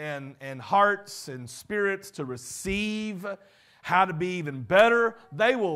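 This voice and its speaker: On a very clean recording with a silent background, a man with a Southern US accent uses a raised, projected voice, bright and sharp in tone, with very wide pitch swings at a very slow pace. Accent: Southern American. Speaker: pastor. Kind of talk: sermon / leadership teaching.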